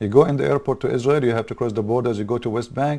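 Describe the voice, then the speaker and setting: A man's dark, mellow voice with an Arabic accent, medium in pitch, fairly quick in pace, with ordinary pitch variation, on a very clean recording with a silent background. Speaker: political commentator. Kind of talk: political commentary monologue. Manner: animated; halting.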